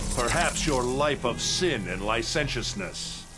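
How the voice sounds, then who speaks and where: Against clear background noise, a man puts on a character voice at medium pitch and a fairly slow pace. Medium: machinima.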